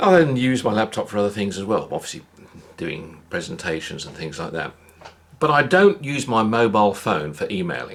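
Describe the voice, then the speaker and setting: Speaking with a British accent, a man talks at a fairly quick pace and medium pitch. His pitch swings very widely, and his loudness swings a lot too. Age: 60s. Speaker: vlogger. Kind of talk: casual monologue.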